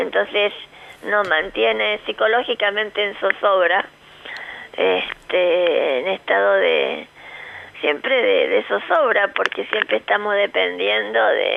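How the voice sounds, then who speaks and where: Through noticeable background noise, a woman talks at a very slow pace with very even loudness. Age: 60s. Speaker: foundation director. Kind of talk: radio interview.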